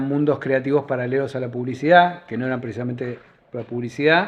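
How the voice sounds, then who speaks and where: His pitch sits in the middle range. The speaker is a man. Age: 60s. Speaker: advertising creative director. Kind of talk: casual interview. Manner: halting.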